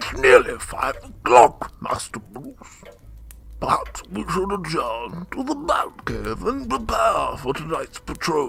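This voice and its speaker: A man speaks at a fairly slow pace in a put-on character voice, his loudness swinging widely. Clear background noise runs behind him. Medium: audio drama. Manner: formal, gentle, deferential.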